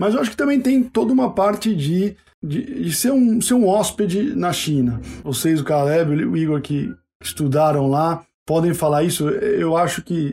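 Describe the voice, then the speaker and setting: Speaking at a moderate pace, a man with a high pitch and a dark, mellow tone makes very wide pitch swings. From Brazil, São Paulo. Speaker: university admissions staff, sociologist. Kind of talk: interview. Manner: hesitant, repeats words.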